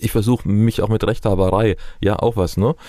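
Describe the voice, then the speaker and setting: A man talks at a fairly quick pace in a dark, mellow tone. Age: 60s. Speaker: palliative care physician. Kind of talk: interview. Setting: studio.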